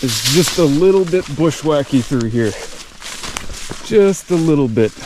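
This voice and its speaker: Over noticeable background noise, a man speaks at a fairly slow pace and fairly high pitch with lively intonation. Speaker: hiking vlogger. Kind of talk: vlog narration while hiking. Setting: outdoors in the woods.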